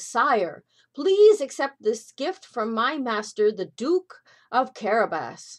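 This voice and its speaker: In a put-on character voice, a woman speaks fairly slowly at a fairly high pitch in a very clean recording with a silent background. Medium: read story. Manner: sly, persuasive.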